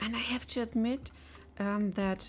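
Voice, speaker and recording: A woman's fairly slow speech is heard over music in the background. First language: not English. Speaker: game developer streamer. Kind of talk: live dev stream chat. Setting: live stream. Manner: halting, many fillers.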